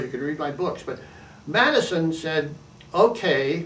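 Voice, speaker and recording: A man speaks at a moderate pace with a fairly high pitch. Room echo is audible. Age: 80s+. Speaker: activist and author. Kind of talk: monologue to camera. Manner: halting, frequent restarts.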